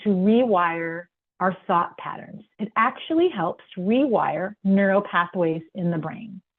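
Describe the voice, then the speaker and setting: A woman's unremarkable speaking voice at a medium pitch, with ordinary pitch variation and a fairly slow pace. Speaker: wellness webinar presenter. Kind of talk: webinar presentation. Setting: online webinar with sign language interpreter.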